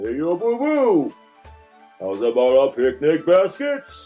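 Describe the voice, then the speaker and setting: In a put-on character voice, a man talks at a fairly slow pace with a fairly high pitch while faint music plays in the background. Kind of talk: casual. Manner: playful, goofy.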